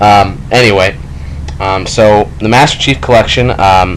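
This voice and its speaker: A man speaks at a fairly low pitch. Audible room echo and noticeable background noise surround his voice. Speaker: gaming youtuber. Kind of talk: let's play commentary. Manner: halting, many fillers; casual.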